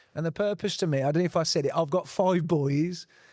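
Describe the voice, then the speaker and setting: A man with a high-pitched voice talks with fairly even intonation over a silent background in a very clean recording. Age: 40s. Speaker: panelist on men's health. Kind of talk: panel discussion.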